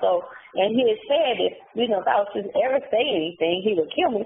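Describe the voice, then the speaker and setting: Amid noticeable background noise, a woman with an American accent speaks at a moderate pace and a fairly high pitch. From US South, Charlotte, North Carolina. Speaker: incarcerated woman telling her story. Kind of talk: interview. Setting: phone call from prison. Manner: halting.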